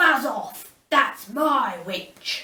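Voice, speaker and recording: A female-sounding put-on character voice, high-pitched, shrill, croaky and growling, with very wide pitch swings and a slight echo. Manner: rude, menacing.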